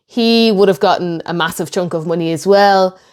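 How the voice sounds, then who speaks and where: A woman speaks in an Irish accent at a medium pitch, with ordinary pitch variation. The recording is very clean against a silent background. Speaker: history YouTuber. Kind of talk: video reaction commentary.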